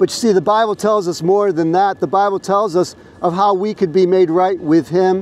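The man's voice is loud and high-pitched, with fairly even intonation. He keeps a moderate pace in a dry sound with no echo. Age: 60s. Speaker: street preacher. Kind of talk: street preaching, open-air sermon. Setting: outdoors on a college campus. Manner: loud, earnest, exhortative; direct, confident, pleading. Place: street.

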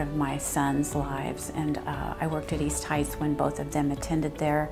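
Clear music plays behind a woman speaking at a moderate pace. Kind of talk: interview answer. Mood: warm, smiling, reflective. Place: office.

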